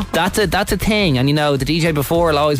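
A man with an Irish accent at a very fast pace and fairly high pitch, music in the background. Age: 20s. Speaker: radio host. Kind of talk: casual chat.

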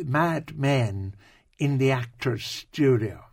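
In a very clean recording with a silent background, a man with an Irish accent speaks at a very slow pace in a somewhat breathy voice with a fairly high pitch. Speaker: radio host. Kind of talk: casual radio chat. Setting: studio.

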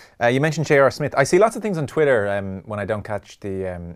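A man with an Irish accent speaks at a very fast pace with lively intonation on a very clean recording with a silent background. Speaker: radio sports host. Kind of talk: radio interview.

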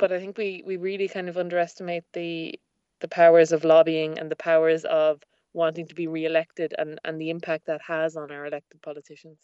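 In a west of Ireland accent, a woman speaks at a fairly low pitch with a dark, mellow tone and a monotone, flat intonation. Her pace is fairly quick, her loudness swings widely, and the sound is dry and close with no echo. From Ireland, Achill Island (Mayo). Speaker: former political candidate. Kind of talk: interview.

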